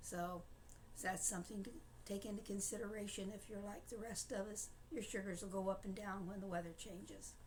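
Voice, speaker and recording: With audible room echo, a woman talks at a fairly quick pace in a medium pitch, somewhat breathy and with fairly even intonation. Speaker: diabetic vlogger sharing personal experience. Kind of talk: casual personal talk to camera. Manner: halting, many filler words.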